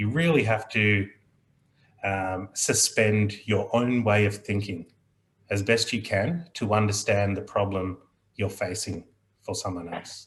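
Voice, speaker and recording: A man with an Australian accent speaks at a fairly slow pace, with long, frequent pauses and a calm, somewhat breathy tone. His voice is fairly low-pitched with ordinary pitch variation, on a very clean recording with a silent background. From Australia, child of Indian immigrants. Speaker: aviation mediator. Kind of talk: panel discussion. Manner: slow, measured.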